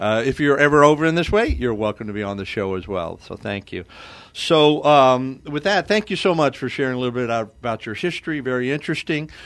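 With a plain, everyday voice, a man speaks at medium pitch with lively intonation on a very clean recording with a silent background. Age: 60s. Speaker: radio host. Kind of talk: radio talk show. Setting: radio studio.

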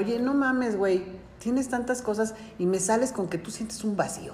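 With a Mexican accent, a woman speaks at a fairly quick pace with ordinary pitch variation, amid audible room echo and noticeable background noise. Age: 40s. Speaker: podcast host. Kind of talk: casual chat.

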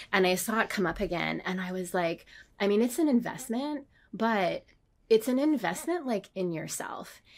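An ordinary speaking voice from a woman at a moderate pace with ordinary pitch variation. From Canada. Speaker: designer and illustrator. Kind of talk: casual chat.

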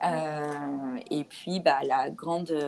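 This is a woman talking. Her pitch sits fairly low. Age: 30s. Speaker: mother and sailor telling her family voyage. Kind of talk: testimony in casual interview. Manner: hesitant, many fillers.

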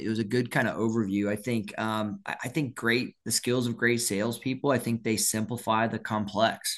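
An ordinary speaking voice moves at a fairly quick pace against a quiet background. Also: man. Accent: American. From US South, Orlando, Florida. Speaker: sales author. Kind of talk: interview.

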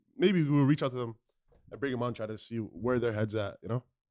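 A man's animated voice at a medium pitch, very fast in pace with ordinary pitch variation. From Somali background. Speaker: podcast co-host. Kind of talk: casual chat.

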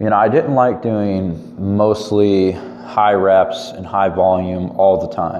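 A man speaks at a very slow pace in a fairly low pitch, with ordinary pitch variation and hardly any pauses. Audible room echo and noticeable background noise fill the recording. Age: 20s. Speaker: fitness podcaster and powerlifter. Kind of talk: solo monologue podcast.

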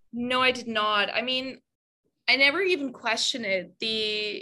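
The woman's tone is bright and sharp. Her pitch moves with ordinary variation. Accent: German. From Germany. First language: German. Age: 20s. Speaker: content creator. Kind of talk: casual interview.

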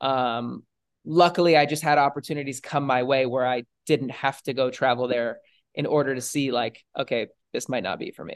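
A man's medium-pitched, unremarkable speaking voice with an American accent, moderate pace, fairly even intonation and a quiet background. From Los Angeles, California. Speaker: content creator and entrepreneur. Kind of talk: casual chat.

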